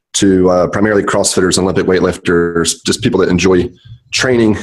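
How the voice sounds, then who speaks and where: Very deep and low in pitch, a man talks at a very fast pace with fairly even intonation. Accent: American. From US South, Charlotte, North Carolina. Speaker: physical therapist. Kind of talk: podcast interview.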